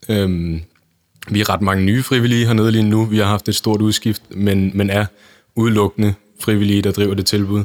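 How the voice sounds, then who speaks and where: The recording is very clean, with a silent background and a dry, close sound free of echo. The speech moves at a moderate pace. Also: man. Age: 20s. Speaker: youth volunteer organisation chair. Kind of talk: interview.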